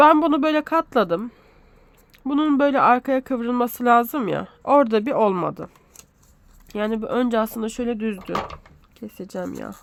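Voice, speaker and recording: Pausing long and often, a woman speaks at a moderate pace in a high pitch with ordinary pitch variation. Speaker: sewing pattern tutorial creator. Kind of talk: tutorial. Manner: casual, hesitant with fillers.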